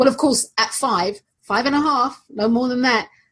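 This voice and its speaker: With a London accent, a woman speaks somewhat breathily at a fairly slow pace. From London, England. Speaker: aromatherapist. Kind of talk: casual chat.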